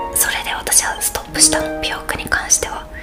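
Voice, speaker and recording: A woman whispers with music in the background. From Japan. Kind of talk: casual talk to camera.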